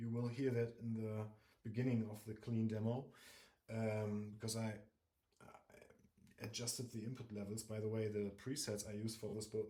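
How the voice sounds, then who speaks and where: With a German accent, a man speaks at a moderate pace and medium pitch, his tone dark, mellow and somewhat breathy. Audible room echo surrounds his voice. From Germany. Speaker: guitar reviewer. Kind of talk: casual product review. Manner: halting, many fillers.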